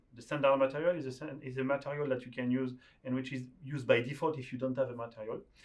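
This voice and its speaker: A man's medium-pitched, monotone, flat delivery at a very fast pace, with a French accent. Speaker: software developer teaching a tool. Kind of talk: screen-share tutorial.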